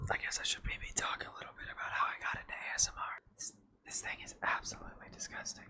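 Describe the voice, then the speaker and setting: Someone whispers at a very fast pace, with hardly any pauses. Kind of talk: asmr whispered rambling. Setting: home recording with air conditioner hum. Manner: whispered.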